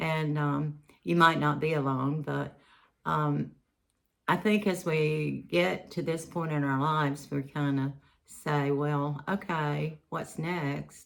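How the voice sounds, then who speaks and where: A woman with a very deep, low pitch and ordinary pitch variation speaks at a very slow pace in a very clean recording with a silent background. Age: 70s. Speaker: retiree vlogger. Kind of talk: casual vlog talk to camera. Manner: rambling with many fillers.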